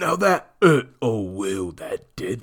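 Over faint background music, a man puts on a gruff, raspy character voice.

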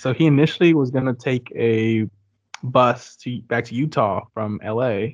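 The man uses an ordinary speaking voice at medium pitch and moves at a fairly slow pace. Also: ordinary pitch variation. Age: 20s. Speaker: podcast host. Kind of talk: casual chat.

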